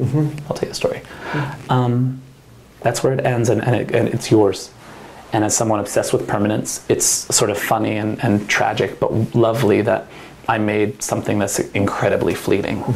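At a moderate pace and medium pitch, a man speaks in a normal speaking voice with very even loudness and fairly even intonation. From New Jersey. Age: 30s. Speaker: winemaker. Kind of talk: oral history interview. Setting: wine bar.

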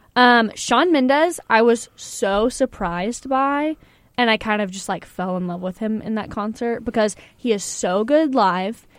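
In a normal speaking voice, a woman talks at a fairly slow pace with a fairly high pitch and ordinary pitch variation. Her loudness swings a lot, and the recording is very clean with a silent background. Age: 20s. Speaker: college radio host. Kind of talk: casual chat. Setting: studio.

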